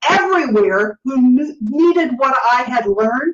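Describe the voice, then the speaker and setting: This woman's voice is high in pitch. Her pitch variation is ordinary. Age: 70s. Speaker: author and health coach. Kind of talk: interview.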